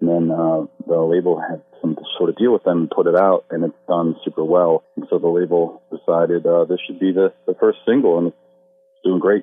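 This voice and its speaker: A man with an American accent at a moderate pace, music in the background. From US Midwest. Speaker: rock band frontman. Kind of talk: interview. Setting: phone call.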